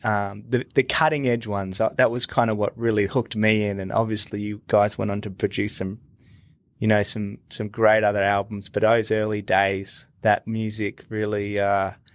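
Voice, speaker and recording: A man with an Australian accent speaks in a fairly low, monotone, flat voice. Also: moderate pace. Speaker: podcast host. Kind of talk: interview. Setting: video call.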